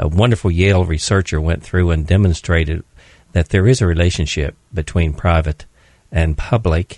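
A man with an American accent speaks at a very deep, low pitch with ordinary pitch variation and very even loudness, in a dry, close sound with no echo. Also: moderate pace. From West Virginia. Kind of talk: radio discussion. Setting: studio.

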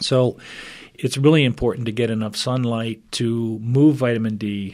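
A man in an ordinary speaking voice, medium in pitch with ordinary pitch variation, at a moderate pace, on a very clean recording with a silent background. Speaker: chiropractor and functional medicine practitioner. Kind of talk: radio interview. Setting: studio.

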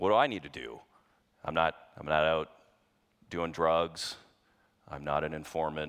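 A man speaks at a moderate pace in a very deep, low voice, with a relaxed yet bright, sharp tone. The recording is very clean, with a silent background. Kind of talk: testimony. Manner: relaxed, chatty and self-deprecating, laughing as he talks.

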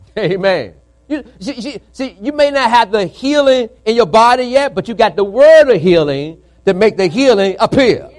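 The delivery is animated, with lively intonation. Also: man, high pitch for a man, moderate pace. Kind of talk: sermon. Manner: animated, call-and-response, exhorting the congregation; emphatic, repetitive, building in intensity.

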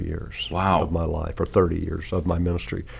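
Vocal fry and a fairly slow pace in an Arkansas accent. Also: man. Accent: Southern US, Arkansas. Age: 60s. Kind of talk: interview conversation about faith. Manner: folksy, humorous.

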